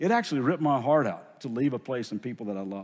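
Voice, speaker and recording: With a Southern US accent, a man speaks with lively intonation on a very clean recording with a silent background. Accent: Southern US drawl. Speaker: pastor. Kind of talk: sermon. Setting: church. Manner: earnest, emotional.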